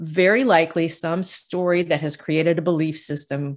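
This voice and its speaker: In a plain, everyday voice, a woman of fairly low pitch speaks at a moderate pace. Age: 60s. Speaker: intuitive healer and novelist. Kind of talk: casual interview.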